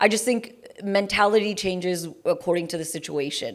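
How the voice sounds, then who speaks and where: Moderate pace and ordinary pitch variation from a woman with a New York accent, on a very clean recording with a silent background. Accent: New York American. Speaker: radio jockey. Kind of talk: interview answer.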